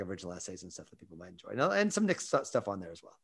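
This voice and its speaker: A man with an American accent. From US Midwest. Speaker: writer and columnist. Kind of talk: casual chat.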